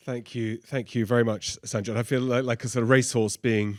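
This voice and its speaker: Speaking at a fairly quick pace, a man with a medium pitch keeps his intonation fairly even. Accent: Oxford. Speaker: professor. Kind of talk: lecture. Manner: unscripted, conversational.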